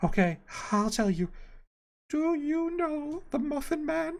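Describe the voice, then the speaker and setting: A woman speaks in a put-on character voice. Her high pitch moves through very wide swings. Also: fairly slow pace. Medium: read story.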